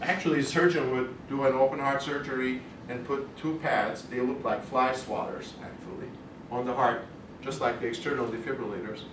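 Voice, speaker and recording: A man with a slight non-native accent speaks at a fairly quick pace with fairly even intonation. Noticeable background noise and audible room echo fill the recording. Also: medium pitch for a man. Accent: slight foreign. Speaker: cardiologist giving a talk. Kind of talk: educational lecture. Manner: conversational, with false starts.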